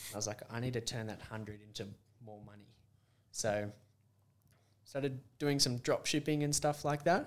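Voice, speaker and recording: A man's medium-pitched voice with an Australian accent, ordinary pitch variation, big swings in loudness, a moderate pace with long, frequent pauses, and a very clean recording over a silent background. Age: 20s. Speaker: podcast host. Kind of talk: casual chat.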